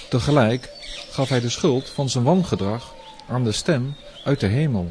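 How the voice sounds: The voice is a natural reading voice. It carries ordinary pitch variation.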